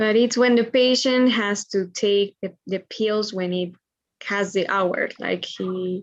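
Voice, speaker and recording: Speaking at a very slow pace, a woman with a Spanish accent keeps a medium pitch and fairly even intonation. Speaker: medical student. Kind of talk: reading aloud. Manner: halting.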